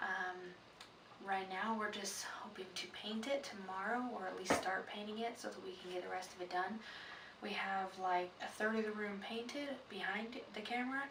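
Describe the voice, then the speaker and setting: A quiet woman's voice at medium pitch and a moderate pace, fairly even in intonation, with audible room echo and noticeable background noise. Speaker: vlogger, prospective foster parent. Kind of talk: casual vlog. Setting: indoors at home at night. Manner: quiet, hushed; hesitant, many fillers.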